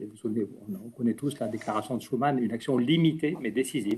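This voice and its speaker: A man talks at a very fast pace in a dark, mellow tone with ordinary pitch variation. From French Basque Country. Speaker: politician. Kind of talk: conference talk. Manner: talkative, with hesitations.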